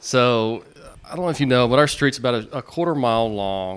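Using a normal speaking voice, a man at a medium pitch speaks with lively intonation. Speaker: podcast co-host. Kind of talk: casual banter interview.

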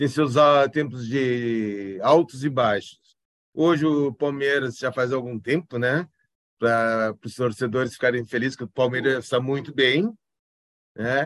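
Pausing long and often, a man talks at a fairly slow pace with a medium pitch and fairly even intonation. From Brazil, São Paulo, raised in Porto Alegre. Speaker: forensic expert. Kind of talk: interview. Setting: video call.

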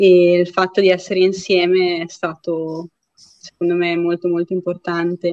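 A woman talks in a fairly low pitch. Her intonation is monotone and flat. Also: fairly slow pace. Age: 30s. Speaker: ultra trail runner. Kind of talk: casual interview.

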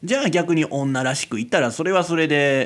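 A man speaks with a Kansai accent. His pace is fairly quick. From Kansai, Japan. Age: 20s. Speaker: amateur radio-style podcaster. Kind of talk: solo casual monologue. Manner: rambling, filler-heavy, frequent laughs.

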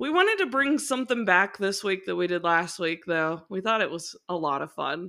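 On a very clean recording with a silent background, a woman speaks at a moderate pace and medium pitch with lively intonation and hardly any pauses. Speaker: podcast co-host. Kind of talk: casual chat.

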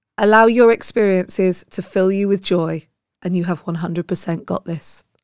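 Speaking at a moderate pace with a British accent, a woman uses a medium pitch and fairly even intonation in a dry, close recording with no echo. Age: 40s. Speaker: podcast host. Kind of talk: personal monologue to listeners.

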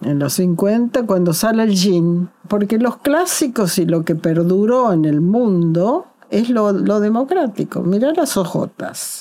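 At a very slow pace and with hardly any pauses, a woman speaks at medium pitch with lively intonation. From Argentina, Córdoba. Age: 80s+. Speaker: journalist and author. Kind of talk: interview. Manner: halting, with repetitions.

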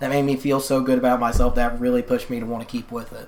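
A woman's very deep, low voice, very fast and monotone with flat intonation, over noticeable background noise. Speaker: musician. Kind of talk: casual interview chat.

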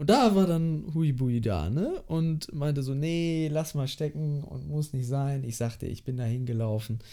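Speaking at a moderate pace, a man uses a dark, mellow tone and lively intonation. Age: 20s. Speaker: apprentice industrial clerk. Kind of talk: casual interview.

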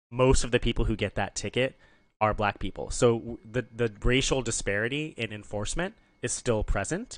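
Against a quiet background, a man uses an unremarkable speaking voice at a medium pitch, a moderate pace and ordinary pitch variation. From Nebraska. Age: 30s. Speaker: podcaster and activist, city council member. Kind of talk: casual chat. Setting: in the host's apartment.

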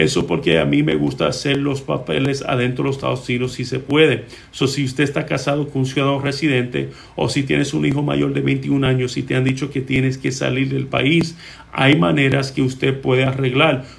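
A man speaks at a fairly quick pace with vocal fry. There is audible room echo. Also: medium pitch for a man, ordinary pitch variation. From Puerto Rico. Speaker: immigration lawyer. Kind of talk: live-stream Q&A. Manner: hesitant, many filler sounds.

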